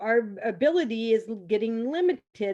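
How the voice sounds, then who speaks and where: This woman has a plain, everyday voice with fairly high pitch and lively intonation. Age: 60s. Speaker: parent advocate. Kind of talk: testimony.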